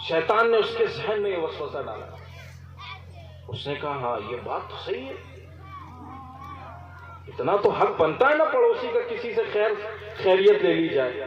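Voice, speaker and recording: A man speaks with big swings in loudness. Crowd noise sits in the background. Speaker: Islamic preacher. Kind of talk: religious sermon (bayan) telling a moral story.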